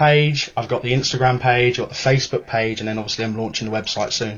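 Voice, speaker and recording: The man talks at a very fast pace with fairly even intonation. His voice is somewhat breathy. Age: 20s. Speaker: football fans' council spokesman. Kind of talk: casual chat.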